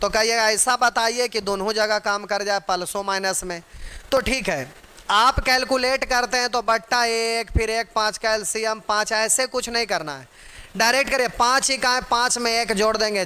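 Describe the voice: A man's high voice, bright and sharp, at a moderate pace with ordinary pitch variation.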